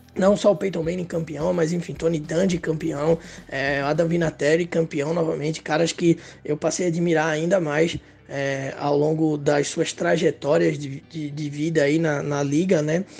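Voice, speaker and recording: With noticeable background noise behind him, a man speaks at a moderate pace in a fairly high, flat monotone. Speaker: NFL content creator. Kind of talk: recorded testimony.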